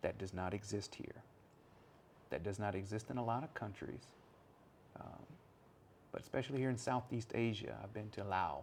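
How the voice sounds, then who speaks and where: With an American accent, a man talks at a moderate pace in a fairly low voice with vocal fry, ordinary pitch variation, and long, frequent pauses. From United States. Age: 40s. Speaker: English teacher. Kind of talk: casual podcast monologue. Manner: casual, hesitant.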